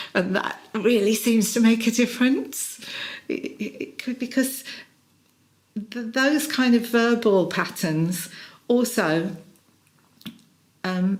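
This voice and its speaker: A woman with a British accent at a very slow pace, with lively intonation and long, frequent pauses. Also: fairly high pitch for a woman. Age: 60s. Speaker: executive coach. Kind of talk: interview. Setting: in person.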